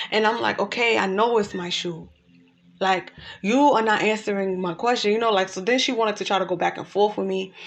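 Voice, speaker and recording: Fairly quick and fairly even in intonation, a normal speaking voice carries on. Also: woman, medium pitch for a woman. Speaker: life coach. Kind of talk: casual talk to camera.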